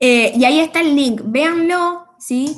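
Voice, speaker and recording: A woman speaks in a somewhat breathy voice. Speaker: university lecturer. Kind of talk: online class lecture. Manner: fast.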